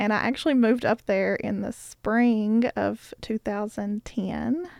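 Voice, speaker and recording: Recorded dry and close with no echo against a silent background on a very clean track, a woman with an Appalachian accent speaks at a fairly high pitch with ordinary pitch variation. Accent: Appalachian American. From eastern Kentucky, Bell County. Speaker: arts organization worker. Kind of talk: casual reminiscence.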